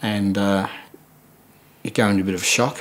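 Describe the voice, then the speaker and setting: A man with a fairly low-pitched voice. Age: 70s. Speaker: prostate cancer survivor. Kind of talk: testimony. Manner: halting.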